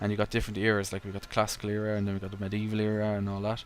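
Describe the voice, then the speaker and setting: With an Irish accent, a man speaks in a relaxed tone at a fairly low pitch. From Ireland. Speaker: gaming YouTuber. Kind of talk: gameplay commentary. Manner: relaxed, casual.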